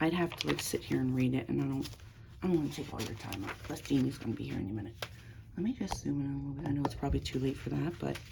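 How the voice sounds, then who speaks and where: A woman talks at a very fast pace. Her voice is quiet. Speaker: crafter and online seller. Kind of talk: casual craft flip-through. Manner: quiet, talking low; casual, meandering.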